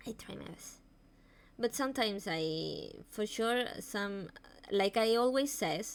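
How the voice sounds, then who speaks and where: At a very slow pace, a woman with a Spanish accent and a fairly high pitch speaks with ordinary pitch variation and big swings in loudness. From Spain. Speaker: vtuber streamer. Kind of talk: live stream talk on mental health. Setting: live stream. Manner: halting.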